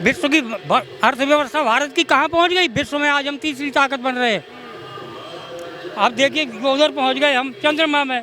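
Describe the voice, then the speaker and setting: A man speaks in a raised, projected voice at an extremely high pitch, with ordinary pitch variation. His pace is moderate, and there is noticeable background noise. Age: 70s. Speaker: member of the public in street interview. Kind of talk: street vox pop political opinion.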